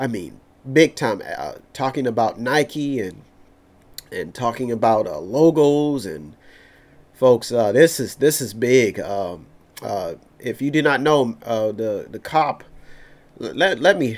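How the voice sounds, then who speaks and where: Speaking at a very slow pace with an American accent, a man uses a medium pitch, lively intonation and big swings in loudness. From Youngstown, Ohio, US Midwest; Ohio. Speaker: talk radio host. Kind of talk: news commentary. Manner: halting, repetitive. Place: studio. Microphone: studio mic.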